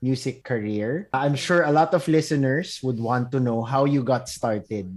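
Over a quiet background, a man with an unremarkable speaking voice talks at a fairly slow pace, fairly high in pitch with lively intonation. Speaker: podcast host. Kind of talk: casual interview chat. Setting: video call.

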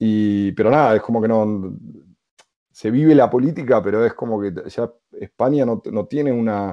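At a moderate pace, a man talks in a plain, everyday voice of medium pitch, with ordinary pitch variation. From Argentina (Buenos Aires). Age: 30s. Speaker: podcaster. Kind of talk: casual interview.

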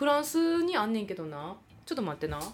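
A woman's fairly high voice with very wide pitch swings and a fairly quick pace, music in the background. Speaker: podcast host, theatre performer. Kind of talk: casual chat. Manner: animated.

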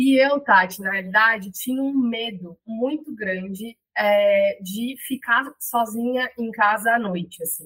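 A woman with a fairly high pitch and ordinary pitch variation speaks at a very slow pace with hardly any pauses. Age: 30s. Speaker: podcaster. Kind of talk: interview.

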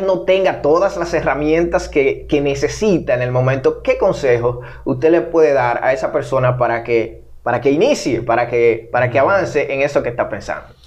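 This man has a fairly high pitch and an ordinary speaking voice. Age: 30s. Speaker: podcast host. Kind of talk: interview conversation.

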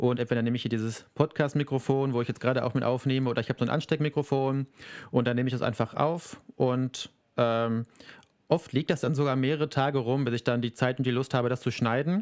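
Very fast and medium in pitch, a man speaks with fairly even intonation in a dry, close sound with no echo. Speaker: podcast co-host and YouTuber. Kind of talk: casual chat. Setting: video call.

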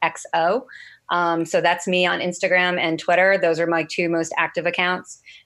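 A normal speaking voice from a woman with an American accent, fairly low in pitch, with fairly even intonation. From New Jersey (Brick). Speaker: CBD company worker. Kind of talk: interview.

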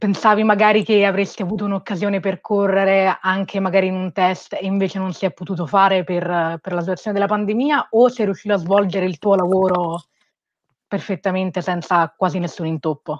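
An unremarkable speaking voice, the woman talks at a fairly quick pace and medium pitch with fairly even intonation, the sound dry and close with no echo against a quiet background. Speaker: interviewer. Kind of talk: interview. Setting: video call.

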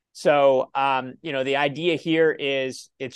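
In a Midwestern American accent, a man with a fairly high pitch speaks with fairly even intonation against a quiet background. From Ohio. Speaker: self-directed retirement account educator. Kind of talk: interview.

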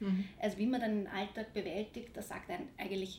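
Against noticeable background noise, a woman speaks at a medium pitch. She keeps a moderate pace with fairly even intonation. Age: 30s. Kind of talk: interview.

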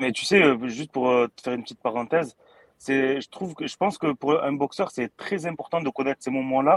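A man's normal speaking voice, fairly high in pitch with ordinary pitch variation, at a fairly quick pace, in a dry, close sound with no echo. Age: 30s. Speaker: boxing YouTube creator. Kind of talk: casual chat. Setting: studio.

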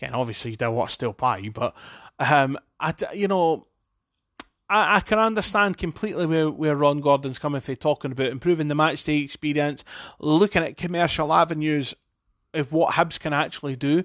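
A man's fairly high voice in an Edinburgh accent at a fairly quick pace, with ordinary pitch variation, on a very clean recording with a silent background and a dry, close sound with no echo. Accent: Scottish (Edinburgh). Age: 30s. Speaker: football fan podcaster. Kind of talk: solo opinion monologue. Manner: hesitant, many fillers and restarts.

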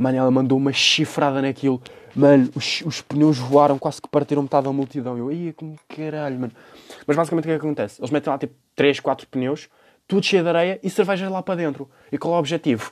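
A man with a European Portuguese accent, fairly high in pitch, very fast, with ordinary pitch variation. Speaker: podcast host. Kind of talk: casual monologue. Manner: animated.

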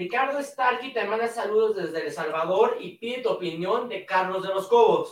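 Hardly any pauses interrupt this speech, which keeps a moderate tempo. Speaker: show announcer reading viewer questions. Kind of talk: reading out viewer questions.

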